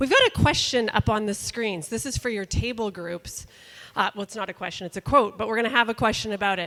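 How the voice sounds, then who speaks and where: A woman with a slight Canadian accent speaks very fast at a fairly high pitch, her pitch varying in an ordinary way in a dry, close sound with no echo. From Canada, Calgary Alberta. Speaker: workshop presenter. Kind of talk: workshop presentation.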